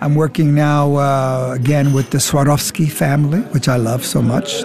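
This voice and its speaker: With music in the background, a man speaks at a moderate pace in a fairly high pitch, with ordinary pitch variation and very even loudness. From Germany, Frankfurt. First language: German. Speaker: acting coach. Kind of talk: interview. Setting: bar.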